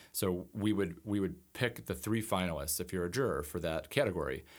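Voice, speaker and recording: An American accent with ordinary pitch variation. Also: man, very clean recording, silent background. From Buffalo area, western New York. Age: young. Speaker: editorial cartoonist. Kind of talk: interview conversation.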